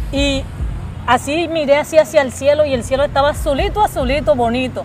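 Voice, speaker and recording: A woman speaks at a fairly quick pace in a high pitch with ordinary pitch variation. Noticeable background noise is present. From Colombia, Cartagena. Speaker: singer giving testimony. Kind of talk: testimony. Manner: animated.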